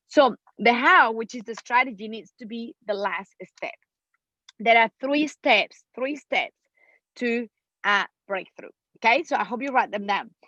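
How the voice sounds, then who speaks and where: A woman's fairly high voice, bright and sharp in tone, with a Mexican accent, a fairly slow pace, long and frequent pauses, and a dry, close sound with no echo. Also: ordinary pitch variation, big swings in loudness. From Mexico. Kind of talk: motivational, explaining.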